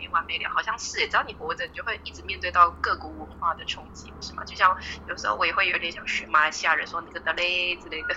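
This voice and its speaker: The speech comes very fast with hardly any pauses and big swings in loudness. Noticeable background noise runs underneath. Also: woman. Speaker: social worker. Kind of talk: casual chat. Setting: phone call.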